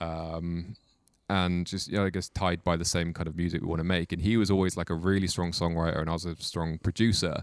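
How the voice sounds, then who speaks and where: A man talks at a fairly quick pace with a Welsh accent and a very deep, low pitch. His intonation is flat and monotone, and the recording is very clean with a silent background. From Mid Wales. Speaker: musician. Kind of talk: casual chat.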